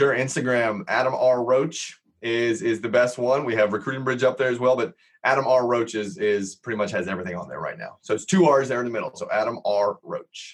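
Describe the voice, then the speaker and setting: Here is a man with a normal speaking voice and medium pitch. He goes at a fairly quick pace with ordinary pitch variation. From Los Angeles, US. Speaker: real estate entrepreneur and software founder. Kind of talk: podcast interview.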